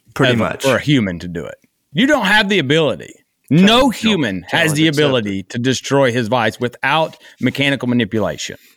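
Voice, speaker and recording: In a fairly high pitch with vocal fry, a man races along at a very fast pace, his pitch swinging very widely. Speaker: podcast host. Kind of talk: casual chat.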